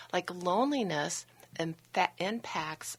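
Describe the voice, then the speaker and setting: A woman's unremarkable speaking voice, fairly low in pitch, with lively intonation. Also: very clean recording, silent background. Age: 60s. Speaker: happiness coach, company founder. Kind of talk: radio interview.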